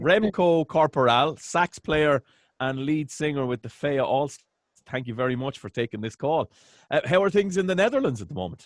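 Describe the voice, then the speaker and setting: A man speaks with an Irish accent at a fairly high pitch, his intonation lively. The sound is dry and close, with no echo. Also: moderate pace. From Ireland. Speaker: interviewer. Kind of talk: interview. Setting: call.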